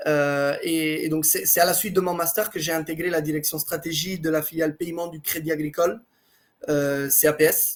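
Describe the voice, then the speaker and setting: A man's fairly high voice in a monotone, flat delivery at a moderate pace. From Italy. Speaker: blockchain executive. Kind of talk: interview.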